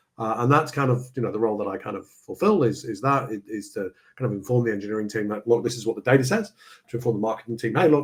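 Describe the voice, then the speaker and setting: Speaking at a very fast pace, a man with a somewhat breathy voice keeps a medium pitch and ordinary pitch variation. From UK. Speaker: procurement research executive. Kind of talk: interview.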